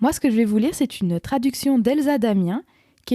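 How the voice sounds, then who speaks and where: A woman's fairly high-pitched voice with lively intonation and a dark, mellow tone, very cleanly recorded against a silent background, dry and close with no echo. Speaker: podcast host and author. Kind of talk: casual conversation.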